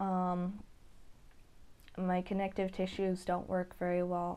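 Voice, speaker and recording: A woman's dark, mellow tone at a medium pitch, delivered very slowly. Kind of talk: casual talk to camera. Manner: slow, hesitant.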